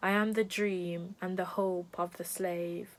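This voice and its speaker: This is a woman's voice. It has a fairly low pitch. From Jamaica. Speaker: spoken word poet. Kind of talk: poetry reading.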